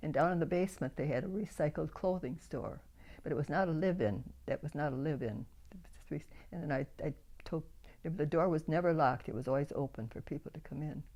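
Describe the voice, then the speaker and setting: A woman talks at a fairly quick pace. Her voice is very deep and low, with a dark, mellow tone. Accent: Upper Midwest. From Grand Rapids, Michigan, USA. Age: 90s. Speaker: church volunteer and prayer warrior. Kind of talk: interview answer.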